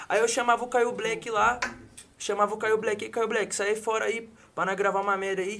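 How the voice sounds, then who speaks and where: With a raised, projected voice, a man with a high pitch speaks at a moderate pace in monotone, flat intonation. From Campinas, São Paulo state, Brazil. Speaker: funk MC. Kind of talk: casual chat.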